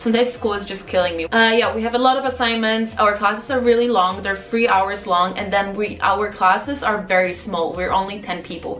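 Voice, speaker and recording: With an animated tone and a fairly quick pace, a woman speaks at a medium pitch amid audible room echo and noticeable background noise. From Poland. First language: Polish. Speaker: vlogger and MBA student. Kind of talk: casual Q&A vlog. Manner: animated, filler-heavy.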